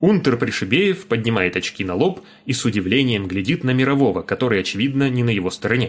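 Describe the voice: This plain reading aloud carries lively intonation.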